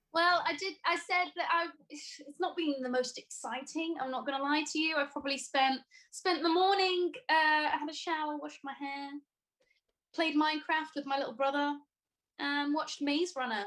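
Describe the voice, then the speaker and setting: A woman's high-pitched voice at a moderate pace. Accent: slight Welsh. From Wales, Newport. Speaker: singer-songwriter. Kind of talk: casual chat.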